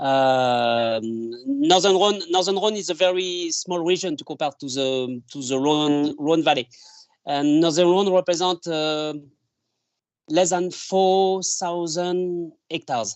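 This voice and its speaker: In a French accent, a man speaks at a high pitch with ordinary pitch variation. His pace is very slow. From France, Isère (between Vienne and Grenoble). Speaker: winemaker. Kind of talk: interview. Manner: halting, many fillers.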